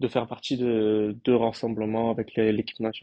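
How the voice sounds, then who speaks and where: Here a man of medium pitch speaks in a monotone with flat intonation. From France, Marseille. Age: 30s. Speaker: professional footballer. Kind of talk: casual interview. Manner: hesitant, many fillers.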